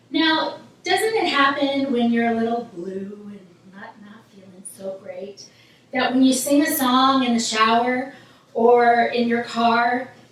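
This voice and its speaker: Amid noticeable background noise and audible room echo, a woman speaks very slowly in a high voice. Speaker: vocal coach. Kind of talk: tutorial.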